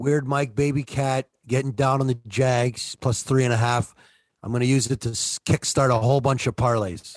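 A Toronto accent at a moderate pace, with fairly even intonation and a dry, close sound with no echo. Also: man, medium pitch for a man. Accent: Toronto Canadian. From Toronto, Canada. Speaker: co-host, sports picks. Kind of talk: casual sports banter.

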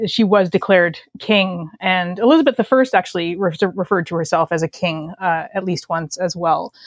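A woman's unremarkable speaking voice, medium in pitch, with a Canadian accent at a moderate pace, on a very clean recording with a silent background and a dry, close sound with no echo. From Canada. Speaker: novelist. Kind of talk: casual interview chat.

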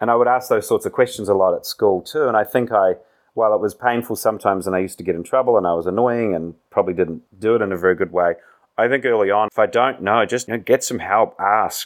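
This man speaks very fast with a New Zealand accent. His voice is fairly low-pitched, with ordinary pitch variation. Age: 30s. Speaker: business executive. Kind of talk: interview.

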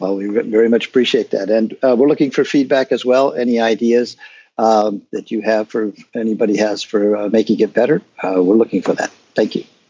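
Using an ordinary speaking voice, a man talks at a fairly quick pace and medium pitch with fairly even intonation. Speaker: guest discussing an accessibility software project. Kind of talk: interview answers.

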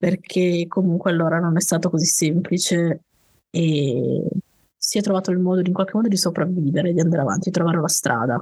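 This is a woman speaking. Her pitch is fairly low. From Piedmont, Italy (valley near Turin). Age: 30s. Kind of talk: interview storytelling.

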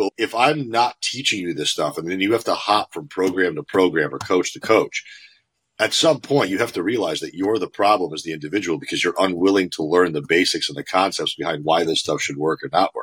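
With an American accent, a man talks at a fairly quick pace, his fairly low pitch carried by lively intonation. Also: dry, close sound with no echo. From US Northeast (Connecticut). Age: 30s. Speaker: fitness coach. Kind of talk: casual interview chat. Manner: animated.

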